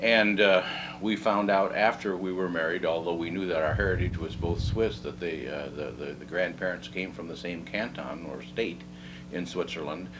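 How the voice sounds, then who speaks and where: With an American accent and lively intonation, a man with a very deep, low pitch talks at a moderate pace amid audible room echo and noticeable background noise. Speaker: oral history interviewee. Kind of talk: oral history interview. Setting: at home. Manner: halting.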